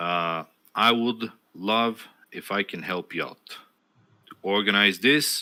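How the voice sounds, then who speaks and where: With a non-native accent and a bright, sharp tone, the speaker goes very slowly with long, frequent pauses and big swings in loudness, in a very clean recording with a silent background. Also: man, ordinary pitch variation. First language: not English. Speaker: streamer and podcast host. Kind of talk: casual chat. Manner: hesitant, many fillers.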